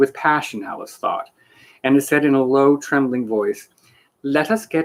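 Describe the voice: Someone does plain reading aloud. There is a quiet background.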